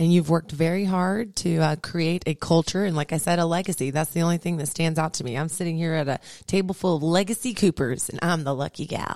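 With a dry, close sound and no echo, a woman talks in an ordinary speaking voice at a fairly low pitch, with ordinary pitch variation, a fairly quick pace and hardly any pauses. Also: very clean recording, silent background. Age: 30s. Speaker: business radio host. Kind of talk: casual interview; sponsor thanks and sign-off. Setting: radio studio.

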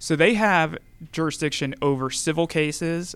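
A man speaks in a normal speaking voice with an American accent, at a moderate pace with ordinary pitch variation. The recording is very clean, with a silent background. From Georgia, US. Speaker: attorney and judicial candidate. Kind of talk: radio interview. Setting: radio studio.

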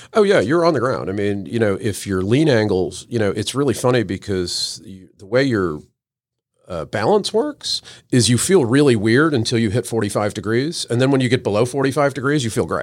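On a very clean recording with a silent background, a man uses a normal speaking voice at a medium pitch, fairly quick pace and lively intonation. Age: 50s. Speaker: marketing agency owner and motorcycle racer. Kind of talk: casual chat. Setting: studio.

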